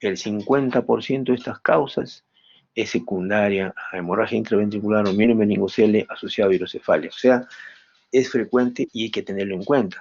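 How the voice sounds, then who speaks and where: This man has a normal speaking voice, pitched fairly low. He talks at a fairly quick pace with fairly even intonation. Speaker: medical professor. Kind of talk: lecture.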